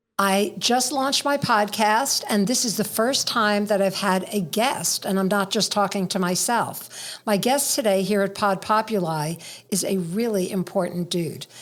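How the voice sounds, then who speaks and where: Using a normal speaking voice, a woman talks at a moderate pace and medium pitch with hardly any pauses, very even loudness and ordinary pitch variation. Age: middle-aged. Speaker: podcast host. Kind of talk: podcast interview question.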